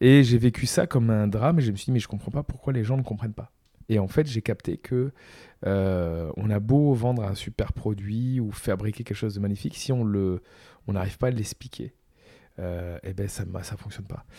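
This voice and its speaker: A man's dark, mellow voice at medium pitch with ordinary variation and a fairly quick pace, on a very clean recording with a silent background. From Provence, southern France. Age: 40s. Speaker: entrepreneur. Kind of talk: interview. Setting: in-person at guest's home.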